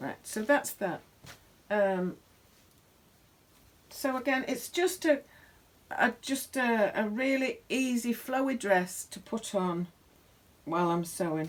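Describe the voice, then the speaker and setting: This woman has a British accent and a fairly high pitch, with very wide pitch swings. She talks at a very slow pace, leaving long, frequent pauses. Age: 60s. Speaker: sewing vlogger. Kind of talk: casual chat. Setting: home sewing workshop. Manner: halting.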